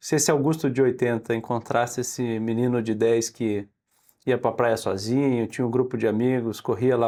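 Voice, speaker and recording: The delivery is monotone, with flat intonation and a moderate pace. The tone is dark and mellow, on a very clean recording with a silent background. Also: man. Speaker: podcast host. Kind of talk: podcast interview questions.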